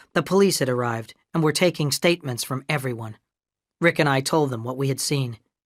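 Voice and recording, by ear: Someone reads aloud in a natural voice, pitch varying in an ordinary way, with a quiet background behind.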